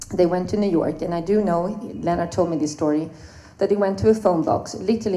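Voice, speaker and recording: Audible room echo carries a woman's dark, mellow voice at medium pitch. She speaks at a moderate pace with a Swedish accent and ordinary pitch variation. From Sweden. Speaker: swing dancer, panelist. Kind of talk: panel talk, personal storytelling.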